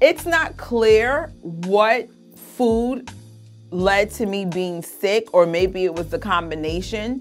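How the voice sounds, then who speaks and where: The speech moves at a very slow pace with ordinary pitch variation. Faint music plays in the background. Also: woman. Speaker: weight vlogger. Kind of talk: casual vlog chat. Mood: frustrated, self-critical then upbeat. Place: home room. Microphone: phone near.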